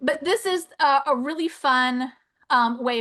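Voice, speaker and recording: Bright and sharp in tone, a woman's high voice moves with lively intonation. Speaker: education specialist demonstrating coding tools. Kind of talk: webinar presentation. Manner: fast; animated.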